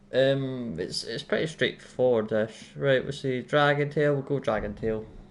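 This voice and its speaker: Here a man is talking with ordinary pitch variation. His voice sits at a medium pitch. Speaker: gaming live streamer. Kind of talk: live gameplay commentary. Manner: fast; rambling, casual.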